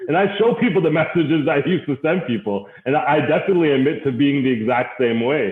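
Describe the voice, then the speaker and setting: Against noticeable background noise, a man talks very fast with hardly any pauses, his fairly high voice enthusiastic in tone, lively in intonation and very even in loudness. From Canada, Caribbean parents. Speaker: guest speaker on networking. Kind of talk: interview conversation. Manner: enthusiastic, loud.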